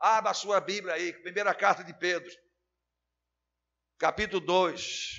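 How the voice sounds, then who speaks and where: A man speaks at a fairly slow pace in a high voice with a flat, monotone delivery. His loudness swings widely, and long pauses come often. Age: 60s. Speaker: pastor. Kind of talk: sermon.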